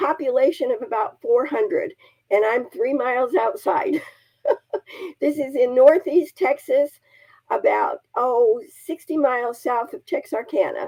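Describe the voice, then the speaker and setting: In a dry, close sound with no echo, a woman speaks at a high pitch with a dark, mellow tone. Her pitch swings very widely at a fairly slow pace, with long, frequent pauses. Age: 80s+. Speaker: charity founder and church member. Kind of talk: interview testimony.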